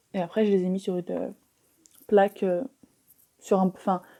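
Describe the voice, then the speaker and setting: A woman speaks at medium pitch and a moderate pace in a dark, mellow tone, with fairly even intonation and a dry, close sound with no echo. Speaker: mukbang youtuber. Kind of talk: mukbang casual chat while eating. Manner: chewing, eating sounds.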